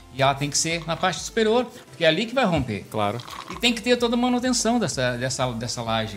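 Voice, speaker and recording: Over noticeable background noise, a man talks at a fairly quick pace with a fairly high pitch and very wide pitch swings. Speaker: civil engineer. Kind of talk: casual chat. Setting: live stream.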